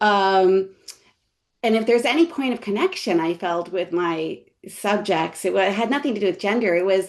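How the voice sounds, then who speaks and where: A woman with a New York accent, medium in pitch, with ordinary pitch variation and a moderate pace. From New York City, Brooklyn. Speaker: history professor. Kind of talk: panel discussion. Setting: webinar video call. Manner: halting, many fillers.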